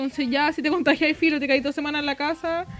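A woman speaks very fast in a Chilean accent at a high pitch. Noticeable background noise runs underneath. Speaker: podcast co-host. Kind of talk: casual chat.

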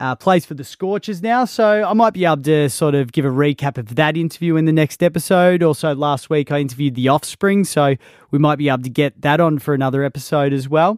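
The man's fairly high voice races at a very fast pace with hardly any pauses and ordinary pitch variation, in a very clean recording with a silent background and a dry, close sound with no echo. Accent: Australian. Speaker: radio announcer and podcast host. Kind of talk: solo podcast monologue. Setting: radio station studio. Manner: casual, conversational.

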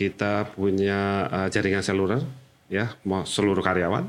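Talking fairly slowly, a man uses a plain, everyday voice at a fairly low pitch. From Jakarta, Indonesia. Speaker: HR manager. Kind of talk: podcast interview.

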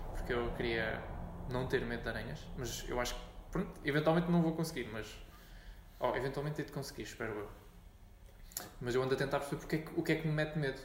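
Talking at a very fast pace yet with long, frequent pauses, a man with a fairly high pitch and ordinary pitch variation is heard with audible room echo. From Portugal, Montijo. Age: 20s. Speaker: podcast host. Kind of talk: casual chat.

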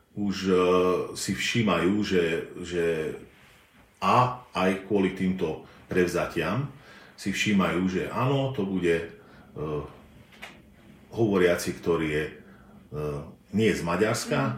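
A man speaks at a very slow pace in a very deep, low voice with ordinary pitch variation, leaving long, frequent pauses amid audible room echo. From southern Slovakia, bilingual Slovak-Hungarian family. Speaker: linguistics professor. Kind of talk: interview. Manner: hesitant, frequent filler sounds.

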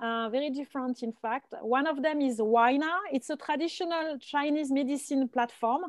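Talking at a moderate pace with hardly any pauses, a woman with a strong French accent and high pitch shows ordinary pitch variation in a dry, close sound with no echo. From France. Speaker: venture capital investor. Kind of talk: casual panel discussion. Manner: hesitant, with frequent fillers.

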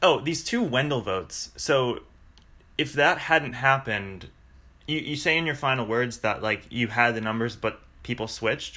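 A man speaks at a moderate pace with a medium pitch. His tone is bright and sharp, with ordinary pitch variation.

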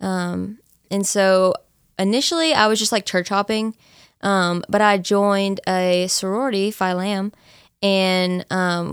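A woman with an American accent and an ordinary speaking voice, medium in pitch, at a fairly slow pace with ordinary pitch variation, in a very clean recording with a silent background. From East Texas, Nacogdoches. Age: 20s. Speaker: college student, church member. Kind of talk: casual interview, testimony.

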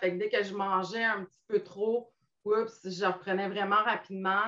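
A woman's medium-pitched, monotone voice with flat intonation, at a fairly slow pace. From Quebec, Montmagny. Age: 50s. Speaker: weight-loss client sharing her story. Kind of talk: interview testimony. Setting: live video stream.

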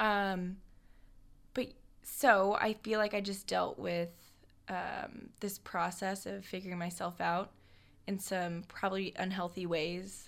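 A woman in a Midwestern American accent, medium-pitched and fairly even in intonation, very slow with long, frequent pauses, in a very clean recording with a silent background. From Nebraska. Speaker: podcast co-host. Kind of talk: casual chat. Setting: studio.

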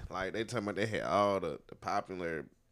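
This man's voice sits very deep and low. The recording is very clean, and nothing is heard in the silent background. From North Carolina (High Point). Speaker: podcast host. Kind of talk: casual chat. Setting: home studio. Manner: animated.

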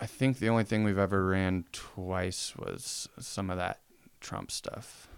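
Speaking at a fairly slow pace with an American accent, a man has a normal speaking voice, fairly low pitch and fairly even intonation. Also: very clean recording, silent background. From Spokane, Washington (US Pacific Northwest). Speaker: apparel brand owner. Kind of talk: casual chat.

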